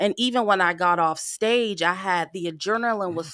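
A woman's plain, everyday voice with lively intonation at a moderate pace, on a very clean recording with a silent background. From Pasadena, California. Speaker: motivational speaker. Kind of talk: casual chat.

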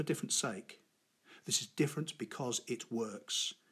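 This man has an ordinary speaking voice. His delivery is fairly quick. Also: very clean recording, silent background. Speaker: public speaking coach and podcast host. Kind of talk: solo podcast tutorial.

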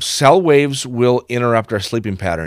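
With an American accent, a man talks at a fairly quick pace in an ordinary speaking voice, his intonation lively, on a very clean recording with a silent background. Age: 50s. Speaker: healthy home consultant. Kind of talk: interview.

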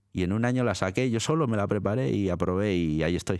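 Speaking at a fairly low pitch, a man uses lively intonation. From Italy, born in Milan. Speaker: radio presenter and librarian. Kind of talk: interview. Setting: studio. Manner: halting, many repetitions.

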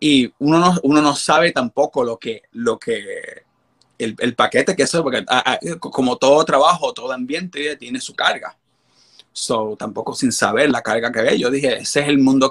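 The recording sounds dry and close, without any echo. A man talks at a moderate speed. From Puerto Rico, Carolina. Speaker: drag performer. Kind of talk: interview. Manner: halting, many fillers.

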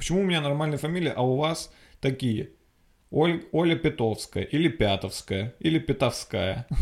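A man's animated, lively-intoned voice with vocal fry, fairly high in pitch, at a moderate pace, in a very clean recording with a silent background and very even loudness. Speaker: podcast host, comedian. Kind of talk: casual comedic monologue.

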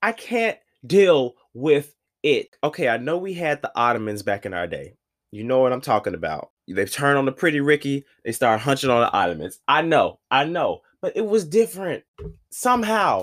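A man's fairly high, animated voice with very wide pitch swings, dry and close with no echo, on a very clean recording with a silent background. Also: moderate pace. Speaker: podcast host. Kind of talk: casual monologue rant.

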